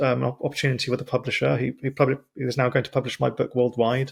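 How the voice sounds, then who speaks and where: Monotone, flat intonation with vocal fry at a very fast pace. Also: man. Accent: British. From Britain. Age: 40s. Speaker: podcast host. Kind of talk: casual interview chat. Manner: halting, with stumbles and restarts.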